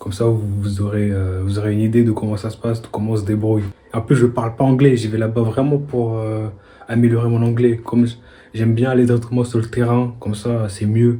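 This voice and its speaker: A man speaks at a fairly quick pace in a somewhat breathy voice with monotone, flat intonation. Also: medium pitch for a man. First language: not French (speaking French). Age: 20s. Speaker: vlogger. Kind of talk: casual vlog monologue. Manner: casual, hesitant with fillers.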